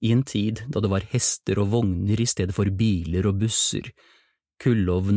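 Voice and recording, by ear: In quiet surroundings, a person reads aloud in a natural voice.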